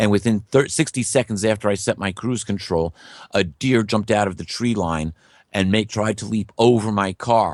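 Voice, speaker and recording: A normal speaking voice from a man, fairly low in pitch, at a moderate pace with ordinary pitch variation and a quiet background. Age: 60s. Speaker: guest speaker on biblical prophecy. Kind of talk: interview.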